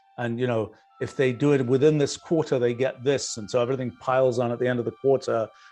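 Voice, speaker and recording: Over music in the background, a man with a British accent talks at a very fast pace, at medium pitch with ordinary pitch variation. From UK. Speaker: business founder answering questions. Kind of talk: live Q&A talk. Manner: hesitant, many fillers.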